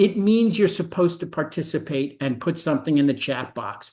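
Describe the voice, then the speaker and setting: This man has a New York accent and a high pitch. His intonation is lively, and the background is quiet. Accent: New York (Brooklyn) American. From New York City (Brooklyn). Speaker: medical education professor. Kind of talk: webinar presentation. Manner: fast.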